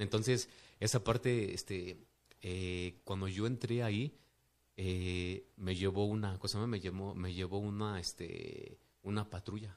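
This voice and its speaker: In a very clean recording with a silent background, a man with a fairly low pitch speaks at a very slow pace with fairly even intonation. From Mexico City. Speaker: businessman. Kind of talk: casual interview testimony. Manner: halting, many fillers.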